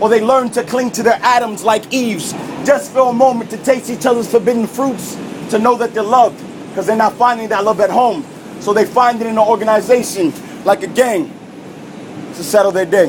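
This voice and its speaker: A loud man with an American accent talks at a fairly quick pace and an extremely high pitch, with ordinary pitch variation. Noticeable background noise runs underneath. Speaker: spoken word poet. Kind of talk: spoken word performance. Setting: subway car.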